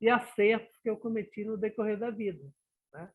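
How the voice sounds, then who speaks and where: A man speaks in a high pitch at a fairly slow pace. The recording is very clean, with a silent background. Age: 60s. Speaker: professional in a retirement study group. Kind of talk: group discussion.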